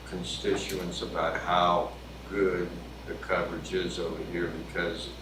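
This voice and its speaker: A man's very deep, low voice at a very slow pace, with audible room echo and noticeable background noise. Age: 60s. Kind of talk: committee meeting discussion.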